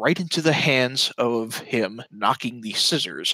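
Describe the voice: The text is read out plainly. Nothing more than straightforward reading aloud.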